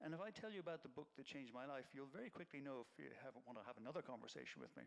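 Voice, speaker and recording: A man with an Irish accent and vocal fry speaks at a very fast pace with lively intonation. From Ireland. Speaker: nonprofit executive director. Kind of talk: public talk.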